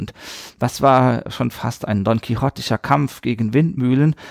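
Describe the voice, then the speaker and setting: A man's medium-pitched voice at a moderate pace, with ordinary pitch variation and a dry, close sound with no echo. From Palatinate, southwest Germany (West Palatinate near Saarland). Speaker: art museum director and art historian. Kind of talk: interview.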